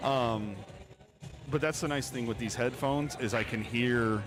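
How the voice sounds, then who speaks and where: A man's voice sits at a medium pitch with ordinary variation. He keeps a moderate pace while music plays behind him. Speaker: pool match live stream commentator. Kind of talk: live commentary. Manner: loud.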